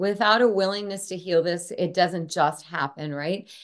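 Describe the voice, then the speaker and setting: A woman with a medium pitch and an American accent speaks at a moderate pace in a plain, everyday voice with ordinary pitch variation. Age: 50s. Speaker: clinical psychologist and author. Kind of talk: interview.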